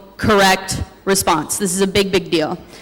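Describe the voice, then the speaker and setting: A woman amid noticeable background noise and audible room echo. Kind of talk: conference presentation. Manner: fast.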